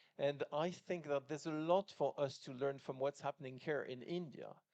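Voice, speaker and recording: In a French accent, a man speaks at a moderate pace with fairly even intonation and a dry, close sound with no echo. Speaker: business executive, panelist. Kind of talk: panel discussion. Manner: halting, many fillers.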